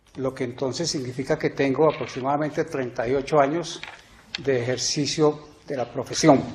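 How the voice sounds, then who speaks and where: The man's voice is fairly high in pitch, varying in an ordinary way. He talks fairly slowly, with noticeable background noise behind him. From Colombia, Ibagué. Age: 60s. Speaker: judicial candidate, law professor. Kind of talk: formal candidacy presentation. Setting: plenary court chamber. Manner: formal.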